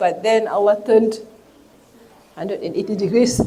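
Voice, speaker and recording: In a room with audible echo and noticeable background noise, a woman speaks in a flat monotone at a fairly high pitch. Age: 60s. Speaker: teacher. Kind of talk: lecture. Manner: halting.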